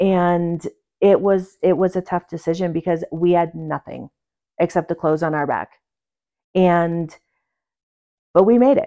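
A woman's fairly low, fairly even voice at a fairly slow pace, with long, frequent pauses, a dry, close sound with no echo and a quiet background. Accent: American. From New York, small town. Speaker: guest, mother and author. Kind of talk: casual chat.

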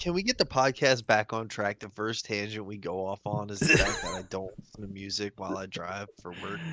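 Over noticeable background noise, a fairly low-pitched man talks at a fairly quick pace with hardly any pauses, ordinary pitch variation and big swings in loudness, the sound dry and close with no echo. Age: 30s. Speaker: podcast co-host. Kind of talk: casual chat.

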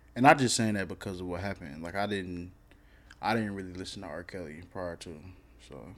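With a Southern US accent, a man speaks at a fairly quick pace in a very deep, low pitch, with ordinary pitch variation. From US South. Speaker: podcast host. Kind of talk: casual chat.

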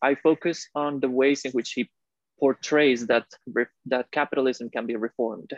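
In a dry, close sound with no echo and a quiet background, a man with a Spanish accent speaks at a moderate pace with fairly even intonation. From Costa Rica. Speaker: recent graduate student. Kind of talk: interview. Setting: video call.

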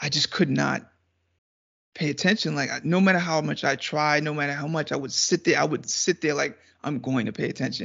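A man's fairly high voice with vocal fry, ordinary pitch variation and a fairly quick pace. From Trinidad. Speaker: podcast guest, video editor. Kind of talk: casual chat. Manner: laughs often.

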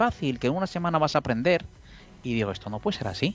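A man's voice with music in the background. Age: 50s. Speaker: professional trader. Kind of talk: casual chat.

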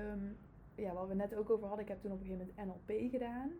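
Her voice has a dark, mellow tone and is somewhat breathy. This woman's pitch sits fairly high, with ordinary variation. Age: 30s. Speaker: family constellation practitioner. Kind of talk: casual interview. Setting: in the host's office.

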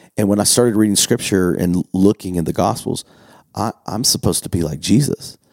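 At a fairly quick pace, a normal speaking voice with ordinary pitch variation sounds dry and close, with no echo. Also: man, fairly low pitch for a man. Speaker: pastor. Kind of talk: casual chat.

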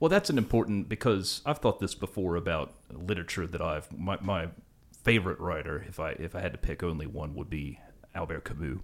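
The speaker has an Appalachian accent and lively intonation. The delivery runs at a fairly quick pace. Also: man, very deep, low pitch for a man. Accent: Appalachian American. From West Virginia, US Appalachia. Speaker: podcast host. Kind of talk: interview.

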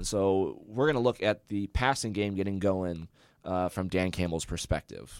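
The recording is very clean with a silent background and a dry, close sound with no echo. A man with an American accent uses a plain, everyday voice, fairly low in pitch, with ordinary pitch variation and a moderate pace. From Charlotte, North Carolina. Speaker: student sports podcast host. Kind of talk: casual sports talk. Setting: student internet radio stream.

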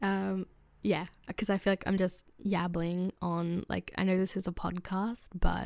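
Recorded very cleanly with a silent background and a dry, close sound with no echo, a woman with an Australian accent speaks at a medium pitch and a moderate pace. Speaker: podcast host. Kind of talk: casual solo talk. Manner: chatty, laughing often.

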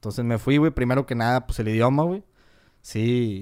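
On a very clean recording with a silent background, a man with a northern Mexican accent talks at a fairly quick pace, medium pitch and ordinary pitch variation. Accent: northern Mexican (norteño) Spanish. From northern Mexico, Cadereyta, Nuevo León. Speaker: manufacturing engineer. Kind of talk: casual chat.

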